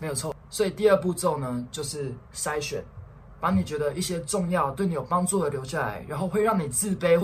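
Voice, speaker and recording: A man with a Taiwanese accent talks at a fairly quick pace. His pitch is fairly high and varies in an ordinary way. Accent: Taiwanese Mandarin. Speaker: podcast co-host. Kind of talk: casual chat.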